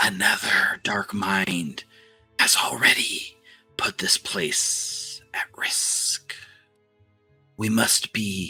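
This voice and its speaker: Whispering in a creaky, put-on character voice, the speaker goes at a very slow pace with long, frequent pauses. Faint music plays in the background. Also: man. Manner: ominous, commanding.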